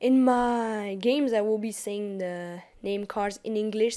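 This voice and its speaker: A woman's fairly high, dark and mellow voice with a French accent. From France. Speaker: gaming YouTuber. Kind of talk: gameplay tutorial commentary. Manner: casual, some hesitation.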